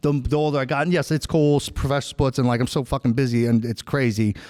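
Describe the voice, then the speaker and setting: A man with a New York accent talks at a very fast pace. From New York (Long Island). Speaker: podcast host. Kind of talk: casual chat. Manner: animated.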